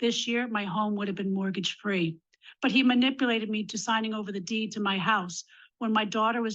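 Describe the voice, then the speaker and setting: With an ordinary speaking voice, a woman in an American accent talks at a fairly quick pace and fairly high pitch, her intonation fairly even against a quiet background. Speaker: domestic violence survivor and advocate. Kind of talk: legislative testimony.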